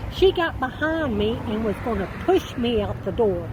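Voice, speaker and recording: A woman speaks with an American accent. The recording carries audible room echo and noticeable background noise. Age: 70s. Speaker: eviction victim telling her story. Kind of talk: interview testimony.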